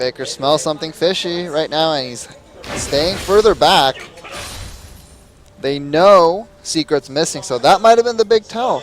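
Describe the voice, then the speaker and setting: Music plays behind a man whose pitch is fairly high. He speaks at a fairly slow pace with lively intonation and long, frequent pauses. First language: not English, learned young. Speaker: esports caster. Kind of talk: live commentary.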